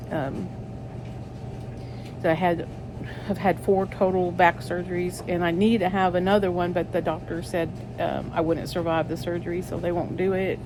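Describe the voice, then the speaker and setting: Over music in the background and audible room echo, a woman with an Oklahoma accent speaks at a moderate pace and a fairly low pitch, with monotone, flat intonation and long, frequent pauses. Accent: southern US, rural Oklahoma. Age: 60s. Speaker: vlogger. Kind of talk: personal testimony. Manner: halting, many fillers.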